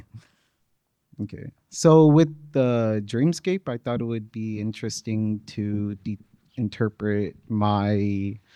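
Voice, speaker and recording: Soft-spoken and at a very slow pace, a man's fairly low, dark, mellow voice with ordinary pitch variation and a dry, close sound with no echo. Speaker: featured poet. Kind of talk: poetry reading.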